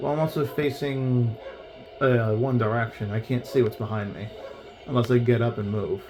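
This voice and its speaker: Music plays in the background. A man speaks at a moderate pace over it. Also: medium pitch for a man. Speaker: gaming streamer. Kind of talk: gameplay commentary. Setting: home bedroom. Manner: animated.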